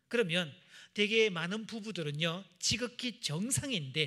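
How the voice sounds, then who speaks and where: A bright, sharp, animated tone with lively intonation in a Gyeongsang accent. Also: man. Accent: Gyeongsang dialect, noticeable. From Gyeongsang region, Korea. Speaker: marriage counselor, revival speaker. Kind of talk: church seminar talk. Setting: church with audience. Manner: animated, audience-interactive.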